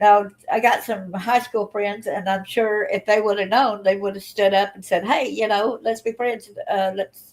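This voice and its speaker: With a Southern US accent, a woman talks at a moderate pace and a medium pitch. Her intonation is fairly even. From Alabama. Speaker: channel host and abuse survivor. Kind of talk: livestream personal testimony. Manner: casual, chatty.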